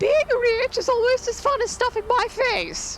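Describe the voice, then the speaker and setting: Someone uses a put-on character voice at an extremely high pitch, speaking at a moderate pace over clear background noise. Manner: silly.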